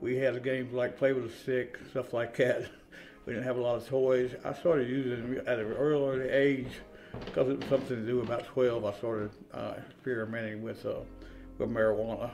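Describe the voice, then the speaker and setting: In a room with audible echo and noticeable background noise, a man talks fairly quickly in a flat monotone at a medium pitch. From eastern Kentucky, rural Appalachia. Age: 60s. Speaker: person in addiction recovery. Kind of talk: interview testimony. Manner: halting, many fillers.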